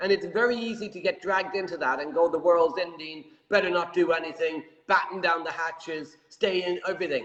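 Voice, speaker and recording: This man speaks in an Irish accent at a high pitch. His pace is fairly quick and his intonation fairly even. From Ireland. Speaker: property show host. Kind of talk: interview.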